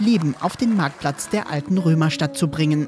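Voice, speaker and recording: Over music in the background, a woman with a fairly low pitch speaks at a moderate pace with lively intonation. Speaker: local news reporter. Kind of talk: news report voice-over.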